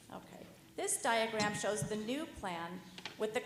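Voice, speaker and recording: Moderately paced female speech amid audible room echo. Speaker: project architect presenting to commission. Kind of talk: formal presentation.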